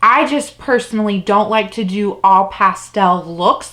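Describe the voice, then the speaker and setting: A woman's pitch moves in an ordinary way while noticeable background noise carries on. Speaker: beauty youtuber. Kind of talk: product review monologue. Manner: fast; animated.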